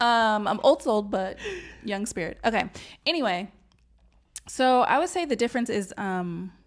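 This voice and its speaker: Spoken at a moderate pace with an American accent, the voice leaves long, frequent pauses in a very clean recording with a silent background. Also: woman, fairly high pitch for a woman. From US West Coast, Los Angeles. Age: 40s. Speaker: podcast co-host. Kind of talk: casual chat.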